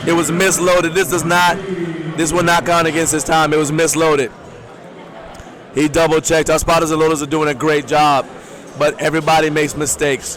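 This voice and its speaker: Over noticeable background noise, a man with a fairly high pitch talks at a fairly quick pace with very even loudness and long, frequent pauses. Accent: American. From Maryland, US. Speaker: powerlifting commentator. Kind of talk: live sports commentary. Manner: animated.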